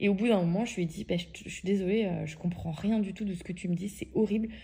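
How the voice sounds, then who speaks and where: A woman at a very fast pace, monotone and flat in intonation, with a medium pitch and a dark, mellow, somewhat breathy tone. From France. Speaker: podcaster. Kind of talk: storytelling. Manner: casual, hesitant with fillers.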